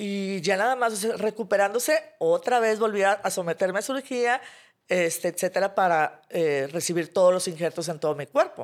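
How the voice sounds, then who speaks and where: Lively in intonation, a woman speaks at a medium pitch and a moderate pace in a very clean recording with a silent background. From Mexico, Monterrey. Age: 40s. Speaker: graphic designer and burn survivor. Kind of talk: interview testimony. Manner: hesitant, many fillers.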